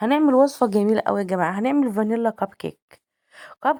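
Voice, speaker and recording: Her fairly high voice carries a dark, mellow tone and lively intonation, with an Egyptian accent. The woman's recording is very clean, with a silent background. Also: dry, close sound with no echo. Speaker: cooking vlogger. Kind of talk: cooking tutorial. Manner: animated.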